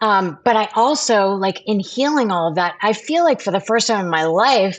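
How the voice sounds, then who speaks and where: With an ordinary speaking voice, a woman at medium pitch talks at a moderate pace using lively intonation and very even loudness against a quiet background. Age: 50s. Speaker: actress and TV host. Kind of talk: interview answer.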